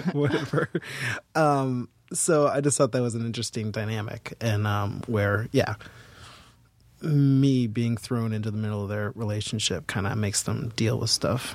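A man with an American accent talks at a medium pitch with ordinary pitch variation. It is a plain, everyday voice. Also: moderate pace. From Boston. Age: 40s. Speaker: actor and filmmaker. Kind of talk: casual interview chat. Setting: studio with headphones.

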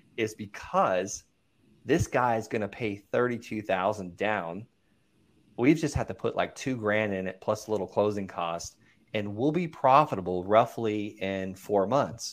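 On a very clean recording with a silent background, a man with an ordinary speaking voice talks fairly slowly at a fairly low pitch, using ordinary pitch variation. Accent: American. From Florida (Okeechobee), US South. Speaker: real estate investor and coach, army veteran. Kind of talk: interview, casual chat.

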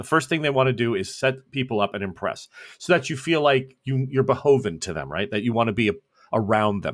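A man with a plain, everyday voice speaks at a moderate pace and medium pitch, his intonation lively, on a very clean recording with a silent background. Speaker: game master of a tabletop role-playing podcast. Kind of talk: actual-play tabletop role-playing session. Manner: laughs often.

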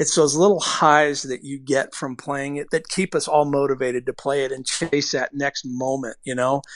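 A man with a normal speaking voice, fairly high in pitch, at a moderate pace with fairly even intonation and hardly any pauses, over a quiet background. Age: 50s. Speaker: baseball pitching coach. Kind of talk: casual interview.

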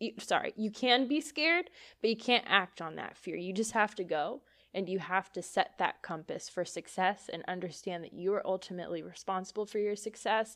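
Over a quiet background, a woman talks at a fairly quick pace in a plain, everyday voice. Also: medium pitch for a woman, ordinary pitch variation. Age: 20s. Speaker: psychic medium podcast host. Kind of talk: casual solo monologue.

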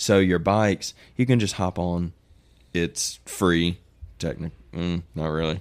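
A man with an American accent, very deep and low in pitch, fairly slow in pace, with ordinary pitch variation and long, frequent pauses. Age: 20s. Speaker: mountain biker. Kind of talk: casual chat. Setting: studio.

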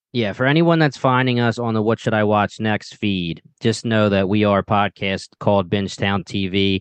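A man with a strong Philadelphia accent and fairly low pitch, ordinary pitch variation, very even loudness, at a moderate pace with hardly any pauses. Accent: strong Philadelphia-area. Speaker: podcast host. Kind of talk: casual chat.

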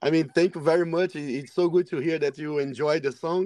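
This man's pitch is fairly high. He has a Portuguese accent. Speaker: death metal band member. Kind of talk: casual interview.

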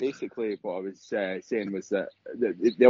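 A man at fairly low pitch and a fairly quick pace, dark and mellow in tone with a slightly husky edge, in a dry, close sound with no echo.

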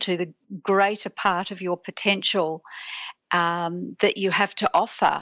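Fairly slow speech from a woman in an Australian accent. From Australia, Sydney. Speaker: teacher and transformational coach. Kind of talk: interview.

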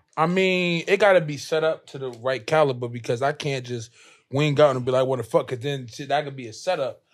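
In an ordinary speaking voice with an American accent, a man talks at a fairly quick pace and fairly high pitch, with ordinary pitch variation and big swings in loudness, on a very clean recording with a silent background. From New Jersey. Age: 20s. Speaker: rapper. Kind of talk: casual chat.

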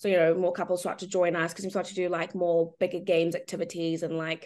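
Against a quiet background, a woman speaks in a medium pitch with an animated tone. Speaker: reality TV contestant. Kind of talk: casual interview chat. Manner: animated, excitable.

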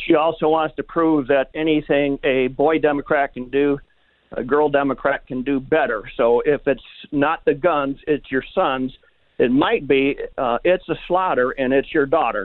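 A man speaks with a Wisconsin accent. His pitch is fairly high. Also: ordinary pitch variation, moderate pace. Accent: Wisconsin Upper Midwest. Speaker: caller. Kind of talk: casual talk radio call. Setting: phone call.

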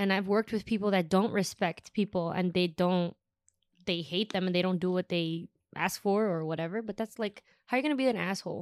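An unremarkable speaking voice with ordinary pitch variation, a dry, close sound with no echo, and a very clean recording with a silent background. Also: woman, medium pitch for a woman. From Chicago. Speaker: event tour manager. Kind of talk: casual chat.

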